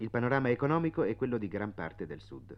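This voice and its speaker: A man speaks in a normal speaking voice. He moves at a fairly quick pace with lively intonation. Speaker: radio travel writer narrator. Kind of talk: reading aloud a 1956 radio travelogue, scripted narration.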